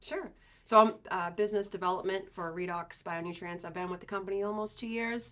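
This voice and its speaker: With a Boston accent, a woman talks at a fairly quick pace in a medium pitch, showing ordinary pitch variation and big swings in loudness. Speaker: agricultural sales representative. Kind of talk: podcast interview. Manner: conversational, many fillers.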